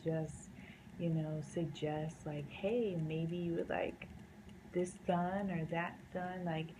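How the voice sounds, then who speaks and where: A woman with an American accent speaks at a fairly slow pace in a fairly low, somewhat breathy voice. Her tone is dark and mellow, and the room echo is audible. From US South, North Carolina. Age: 20s. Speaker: painter. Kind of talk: casual vlog talk. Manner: casual, many fillers.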